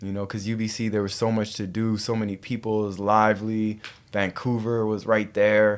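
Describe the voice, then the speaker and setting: A man talks at a moderate pace with a fairly low pitch. His tone is relaxed and his intonation flat and monotone. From western Canada (Calgary, then Richmond, BC). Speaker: wellness coach and entrepreneur. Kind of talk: casual interview. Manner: relaxed, conversational.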